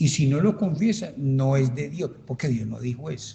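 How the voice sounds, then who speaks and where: A man's somewhat breathy voice, dark and mellow in tone, with lively intonation at a fairly slow pace. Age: 70s. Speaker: pastor. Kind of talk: Bible study teaching. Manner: animated.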